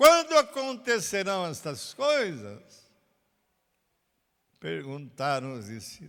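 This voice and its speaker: A man speaks in a high voice at a very slow pace, with long, frequent pauses and very wide swings in pitch. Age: 90s. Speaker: pastor. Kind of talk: sermon. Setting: recorded at a country property.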